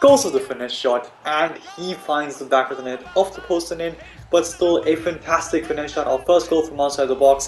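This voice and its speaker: A fairly high-pitched man at a fairly quick pace, ordinary pitch variation, and noticeable background noise. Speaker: video game youtuber. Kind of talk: gameplay commentary. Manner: soft-spoken, quiet.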